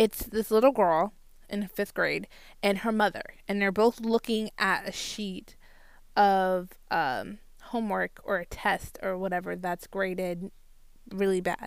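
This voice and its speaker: A woman with an American accent in a normal speaking voice, medium pitch, fairly slow, with fairly even intonation and a very clean recording over a silent background. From Florida (Port Saint Lucie). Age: 20s. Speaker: anime podcast host. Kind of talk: casual chat.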